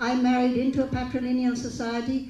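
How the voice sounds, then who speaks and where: Faint music plays in the background and room echo is audible as the speech moves at a fairly quick pace. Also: woman. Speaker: speaker. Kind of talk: panel discussion remarks. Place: hall. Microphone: handheld.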